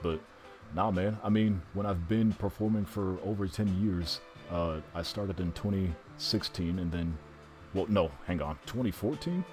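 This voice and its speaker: Over music in the background, a man with a very deep, low voice talks at a moderate pace. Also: ordinary pitch variation. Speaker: longtime stage performer with trained voice. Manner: casual, rambling.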